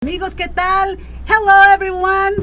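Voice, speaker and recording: Noticeable background noise sits behind a woman who talks with a non-native accent. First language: Spanish. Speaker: show host. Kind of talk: interview.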